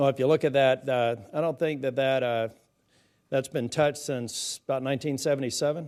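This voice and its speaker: Over a quiet background, a man talks at a fairly quick pace. His pitch is fairly high and his intonation monotone and flat. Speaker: senator questioning witnesses. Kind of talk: congressional hearing questioning. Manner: fast.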